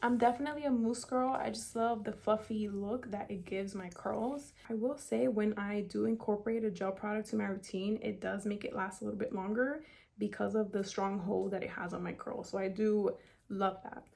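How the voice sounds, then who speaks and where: Speaking at a fairly quick pace in an American accent, a woman of medium pitch has a dark, mellow tone and ordinary pitch variation. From South Florida. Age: 20s. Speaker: beauty vlogger. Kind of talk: tutorial with Q&A. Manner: casual, filler-heavy.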